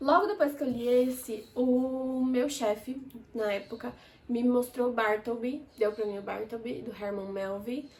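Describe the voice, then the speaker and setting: A woman speaks in an animated tone at a high pitch, with ordinary pitch variation and a fairly slow pace. Background noise is noticeable. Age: 20s. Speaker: book reviewer. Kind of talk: casual chat.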